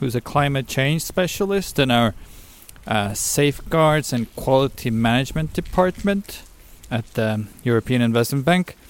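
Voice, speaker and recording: Lively intonation marks a man's fairly slow delivery, medium in pitch, in a normal speaking voice. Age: 30s. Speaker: podcast host. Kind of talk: scripted narration.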